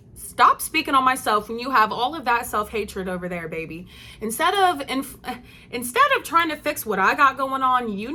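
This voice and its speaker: Over noticeable background noise, a woman speaks at a fairly high pitch. Her voice has very wide pitch swings and big swings in loudness. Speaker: vlogger. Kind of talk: casual monologue. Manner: animated.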